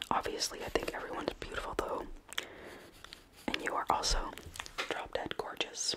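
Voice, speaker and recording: A soft-spoken woman is whispering at a moderate pace. Loud background noise surrounds her. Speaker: ASMR creator. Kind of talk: soft-spoken ASMR roleplay chat. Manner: soft, close ASMR whisper. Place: home room. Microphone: earbuds.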